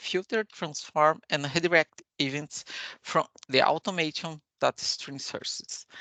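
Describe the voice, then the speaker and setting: A woman with a very deep, low voice and ordinary pitch variation is recorded with a dry, close sound with no echo. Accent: Portuguese. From Brazil. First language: Portuguese. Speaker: software architect, conference speaker. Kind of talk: technical conference talk. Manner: halting, many fillers.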